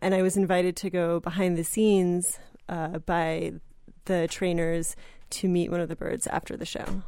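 The tone is dark and mellow, with monotone, flat intonation at a moderate pace. The recording is very clean, with a silent background. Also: woman, fairly low pitch for a woman. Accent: American. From New Jersey. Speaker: magazine editor and writer. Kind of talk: casual interview. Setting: radio studio. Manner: hesitant, many fillers.

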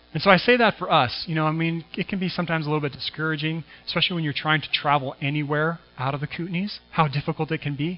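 Talking at a very fast pace, a man keeps a fairly high pitch and fairly even intonation. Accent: West Coast. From US Pacific Northwest, Washington State. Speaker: pastor. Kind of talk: sermon. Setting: church.

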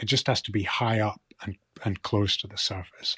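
This man speaks in a Shetland accent at a fairly low pitch. His voice is somewhat breathy, and the sound is dry and close with no echo. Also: very clean recording, silent background. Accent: Shetland Scottish. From Scotland, Shetland (Lerwick). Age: 40s. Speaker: author and fly fisher. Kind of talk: interview. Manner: halting, repeats words.

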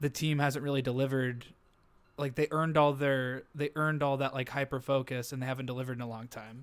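A man speaks at a fairly high pitch. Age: 30s. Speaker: football podcast co-host. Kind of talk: casual chat. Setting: hotel room, remote recording. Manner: animated.

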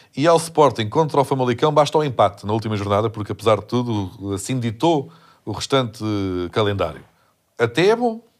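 At a fairly quick pace, a man speaks in a medium pitch in a very clean recording with a silent background. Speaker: comedian podcast host. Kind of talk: casual chat. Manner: animated.

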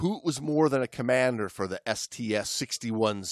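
This is plain reading aloud. The text is read straight through.

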